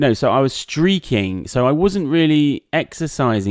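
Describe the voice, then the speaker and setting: A man with an English accent on a very clean recording with a silent background. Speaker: podcast co-host, content creator. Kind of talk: casual chat. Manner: loud.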